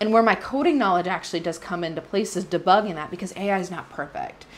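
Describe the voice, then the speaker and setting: Her pitch varies in an ordinary way as this woman speaks. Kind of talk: opinion talk to camera. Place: home room.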